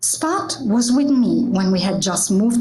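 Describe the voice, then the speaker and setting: With an Italian accent, the speaker moves at a moderate pace with very wide pitch swings. Audible room echo fills the recording. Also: woman. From Italy. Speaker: church member giving a reflection. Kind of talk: prepared reflection talk.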